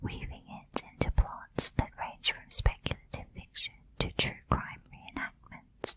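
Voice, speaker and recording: Whispering in a soothing tone, a woman speaks at a fairly slow pace with big swings in loudness over noticeable background noise. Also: hardly any pauses. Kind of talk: ASMR whispered true crime narration. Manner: whispered, soft-spoken, soothing.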